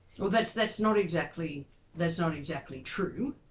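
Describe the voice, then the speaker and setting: An Australian accent is heard here. The delivery moves at a fairly slow pace. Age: 60s. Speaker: advocate and interviewer. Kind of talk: interview. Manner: hesitant, many fillers.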